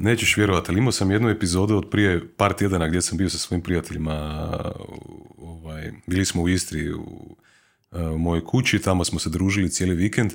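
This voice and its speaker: A man speaks at a fairly quick pace with a very deep, low pitch and fairly even intonation. The recording is very clean, with a silent background. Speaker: podcast host. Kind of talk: casual interview chat. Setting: studio.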